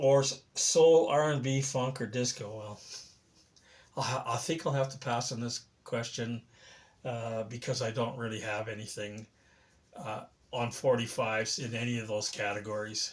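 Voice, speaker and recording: A man speaks with a Canadian accent in a somewhat breathy voice. His intonation stays fairly even, broken by long, frequent pauses. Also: medium pitch for a man, moderate pace. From Canada, Saskatchewan. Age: 70s. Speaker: record collector video creator. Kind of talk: casual show-and-tell vlog. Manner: halting, many fillers.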